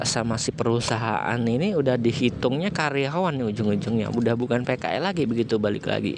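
A man talks at a moderate pace and medium pitch, with vocal fry and ordinary pitch variation. His loudness stays very even and he hardly pauses. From Lampung, Indonesia. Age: 20s. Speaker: podcast host. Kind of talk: casual monologue storytelling. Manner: casual, hesitant with fillers.

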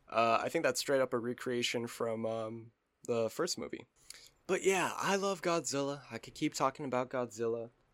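Moderately paced, a man speaks in a plain, everyday voice at medium pitch with ordinary pitch variation, on a very clean recording with a silent background. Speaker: podcast co-host, gamer. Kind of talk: casual banter, comedic chat. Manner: casual, jokey, profane.

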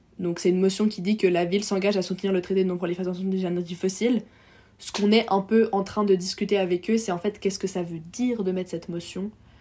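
The tone is dark and mellow, with monotone, flat intonation. The pace is very fast. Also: woman, medium pitch for a woman. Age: 20s. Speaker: medical student and climate activist. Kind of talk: casual interview.

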